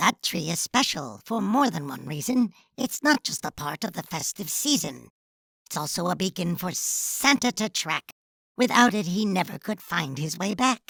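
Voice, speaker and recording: In a very clean recording with a silent background, a female-sounding put-on character voice speaks at a middle pitch and moderate pace. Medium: read story.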